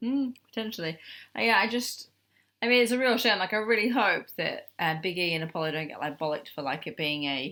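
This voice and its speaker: A woman with an English accent and a medium pitch talks at a fairly quick pace in a bright, sharp tone. Her pitch swings very widely on a very clean recording with a silent background. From Australia. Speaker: wrestling podcast co-host. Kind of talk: casual chat.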